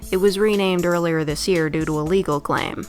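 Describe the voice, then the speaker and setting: Music plays in the background behind a woman. Her voice is fairly low, with ordinary pitch variation. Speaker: game reviewer. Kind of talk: video game review narration. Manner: casual, joking.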